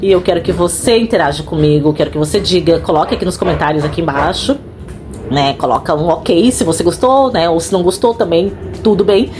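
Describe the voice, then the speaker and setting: Against noticeable background noise, a woman with a fairly low pitch speaks at a fairly quick pace in an animated tone with lively intonation. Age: 40s. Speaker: house cleaner and vlogger. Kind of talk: casual vlog monologue. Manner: fast.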